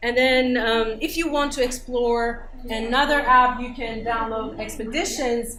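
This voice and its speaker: A woman's high voice with a non-native accent at a fairly slow pace, with audible room echo and noticeable background noise. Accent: foreign accent, judged for it. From Iran. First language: Persian. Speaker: English teacher and researcher. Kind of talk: conference workshop presentation. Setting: conference room with audience. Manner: hesitant, many fillers.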